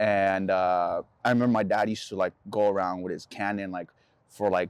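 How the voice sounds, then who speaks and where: A man with a Spanish accent speaks at a fairly quick pace in a monotone, flat intonation with fairly low pitch, against a quiet background. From El Salvador, then San Rafael Bay Area from age 8. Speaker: photographer. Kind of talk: casual interview. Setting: outdoors by a park.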